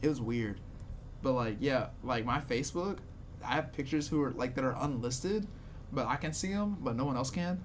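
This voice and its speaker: Audible room echo surrounds a man with a medium pitch and lively intonation. His loudness stays very even at a fairly quick pace. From Louisiana, Shreveport. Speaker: comedian and comedy producer. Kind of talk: casual chat.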